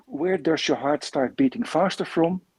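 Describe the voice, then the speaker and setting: Dry and close with no echo, the voice carries a Dutch accent, a dark, mellow tone and lively intonation at a moderate pace. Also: man. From Netherlands. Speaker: coach and coach trainer. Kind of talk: interview. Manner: halting, repeats words.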